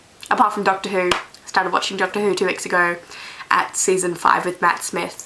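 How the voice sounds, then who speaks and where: A woman at a medium pitch and fairly quick pace, with noticeable background noise. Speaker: vlogger. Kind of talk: casual vlog monologue. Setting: bedroom. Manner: rambling, hesitant.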